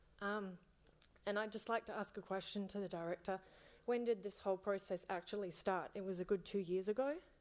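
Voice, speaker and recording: Against a quiet background, a woman with a non-native accent speaks at medium pitch and a moderate pace, her intonation fairly even. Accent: noticeable foreign. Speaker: parent speaking at public comment. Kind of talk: public comment at council meeting. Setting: city council chamber.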